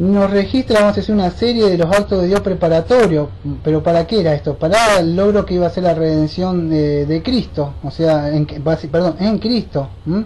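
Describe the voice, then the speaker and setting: Noticeable background noise sits behind a woman at a fairly low pitch who speaks with ordinary pitch variation, very even loudness and hardly any pauses. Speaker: bible study teacher. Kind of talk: bible study lecture. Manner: fast.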